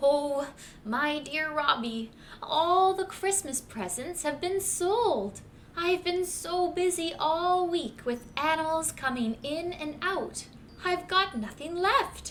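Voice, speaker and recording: Using a put-on character voice at an extremely high pitch, a woman speaks at a fairly slow pace against clear background noise. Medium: read story. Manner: warm, motherly.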